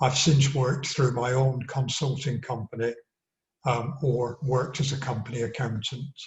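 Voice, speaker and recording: A man with an English accent speaks at a moderate pace and medium pitch, somewhat breathy and with fairly even intonation. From northern England, Accrington. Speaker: local election candidate. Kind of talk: campaign address.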